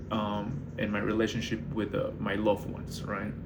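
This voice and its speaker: A man talks at a fairly slow pace, with noticeable background noise and audible room echo. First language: not English. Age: 20s. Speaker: barista manager and vlogger. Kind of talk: casual monologue vlog. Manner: hesitant, many fillers.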